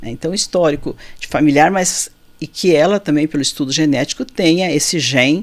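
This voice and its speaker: A woman speaks. Her pace is fairly quick. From Rio Grande do Sul, southern Brazil. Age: 60s. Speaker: physician. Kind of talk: interview.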